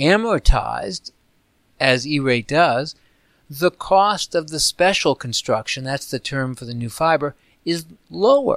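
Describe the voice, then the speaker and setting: A man with an ordinary speaking voice and a fairly high pitch talks at a fairly slow pace, with lively intonation and big swings in loudness. The recording is very clean with a silent background, and the sound is dry and close with no echo. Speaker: policy expert, report author. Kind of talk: interview.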